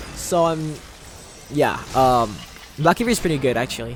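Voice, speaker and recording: This is a man speaking. His voice is raised and projected. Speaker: gaming YouTuber. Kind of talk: gameplay commentary tutorial. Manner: fast; casual, halting with self-corrections.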